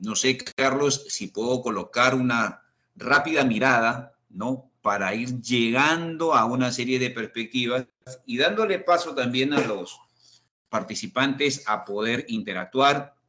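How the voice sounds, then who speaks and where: With a Peruvian accent, a man speaks very slowly at a medium pitch, his pitch moving in an ordinary way. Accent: unmistakable Peruvian. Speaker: risk management expert. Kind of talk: online panel discussion. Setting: video call.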